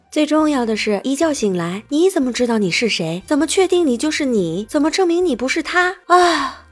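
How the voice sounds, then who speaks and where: Over noticeable background noise, speech at a moderate pace with hardly any pauses swings very widely in pitch. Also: woman, high pitch for a woman. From Inner Mongolia. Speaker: podcast host. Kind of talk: scripted narration.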